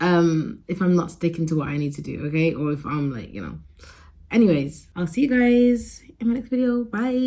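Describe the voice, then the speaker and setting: Somewhat breathy and mumbling, a woman talks at a moderate pace. Her fairly low pitch swings very widely. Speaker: vlogger. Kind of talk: casual vlog talk to camera.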